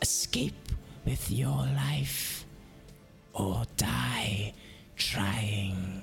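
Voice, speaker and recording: A man's booming, put-on character voice over clear background noise. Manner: projected like a boombox.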